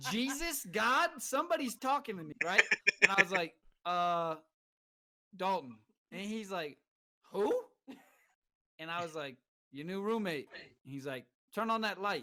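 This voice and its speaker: A man's raised, projected voice, bright and sharp in tone, high-pitched for a man with very wide pitch swings, a slight Southern accent, long, frequent pauses and big swings in loudness. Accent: slight southern twang. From California. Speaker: military veteran, podcast co-host. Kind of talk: casual chat.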